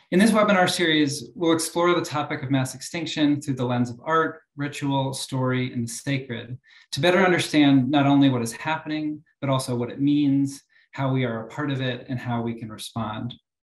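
A man with a fairly high pitch sounds somewhat breathy, using ordinary pitch variation. Audible room echo surrounds him against a quiet background. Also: moderate pace. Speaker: academic moderator. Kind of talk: moderating a webinar. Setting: video call. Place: office. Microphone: webcam.

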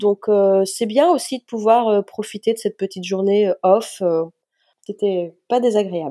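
A woman's voice, fairly high-pitched, with a dark, mellow tone. Her pitch moves in an ordinary way. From western France, Nantes area. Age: 40s. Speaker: trail runner. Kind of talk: interview.

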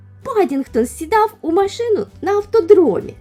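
Lively intonation over an unforced reading voice

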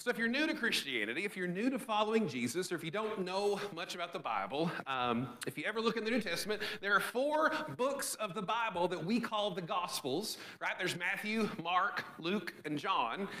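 In a raised, projected voice, a man speaks at a fairly quick pace with lively intonation. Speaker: pastor. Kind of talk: sermon. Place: church.

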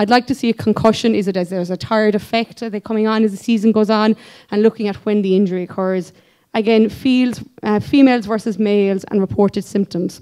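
A woman talks at a very fast pace against a quiet background. Her voice is fairly high, dark and mellow, with fairly even intonation. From Ireland, County Kerry; Ireland. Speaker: physiotherapist. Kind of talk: conference presentation. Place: hall. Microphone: podium.

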